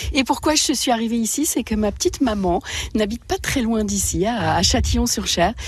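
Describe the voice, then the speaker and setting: Her loudness very even, a woman talks at a moderate pace over noticeable background noise. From Paris region, France. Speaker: potter and ceramicist. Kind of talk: radio interview. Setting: home workshop, village.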